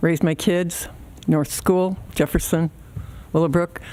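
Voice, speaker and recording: Fairly low in pitch, this woman speaks with a Midwestern US accent. Her pace is moderate and her intonation fairly even. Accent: US Midwest. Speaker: public commenter. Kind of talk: public comment at board meeting. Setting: village board meeting at podium.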